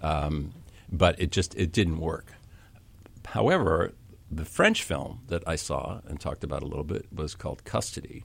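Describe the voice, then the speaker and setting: A man speaks at a very deep, low pitch in a somewhat breathy voice. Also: ordinary pitch variation, moderate pace. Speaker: university dean. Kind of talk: casual radio interview. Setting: radio studio.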